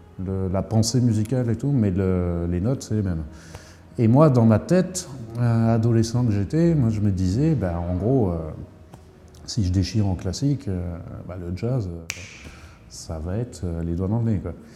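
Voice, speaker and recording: A man with a slight Lorraine accent and a fairly low pitch, lively intonation, and long, frequent pauses. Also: fairly slow pace. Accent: slight northern Lorraine. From northern Lorraine, France (Thionville). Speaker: jazz saxophonist. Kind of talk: casual interview. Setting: smoking room of a Brussels jazz bar.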